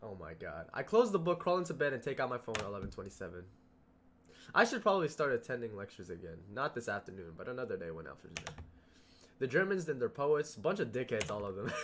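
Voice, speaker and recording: A man's voice carries vocal fry. He speaks at a very fast pace. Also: medium pitch for a man. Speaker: gaming youtuber. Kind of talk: let's play commentary reading game text aloud. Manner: casual, stumbling over words.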